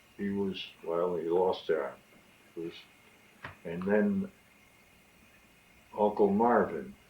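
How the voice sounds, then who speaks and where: An American accent at a very slow pace, with long, frequent pauses and noticeable background noise. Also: man. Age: 90s. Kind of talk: interview answer.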